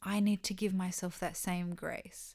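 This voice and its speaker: A woman speaks very slowly in a somewhat breathy voice on a very clean recording with a silent background. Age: 30s. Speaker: podcast co-host, mother. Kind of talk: casual chat.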